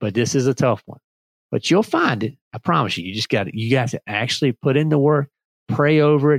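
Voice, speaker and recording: A man speaks in an animated tone with a Southern US accent. His pitch is medium and his pace moderate. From Virginia and North Carolina. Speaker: podcast host. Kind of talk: solo podcast talk.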